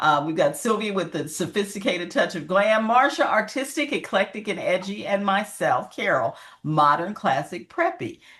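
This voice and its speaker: A woman with an American accent talks at a moderate pace with hardly any pauses and very wide pitch swings. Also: medium pitch for a woman. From Pennsylvania, Johnstown. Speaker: fashion vlogger. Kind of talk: casual chat.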